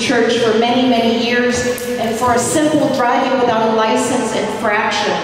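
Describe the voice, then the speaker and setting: The voice is monotone and flat, with strong room echo and light background noise. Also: woman. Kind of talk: rally speech. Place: hall.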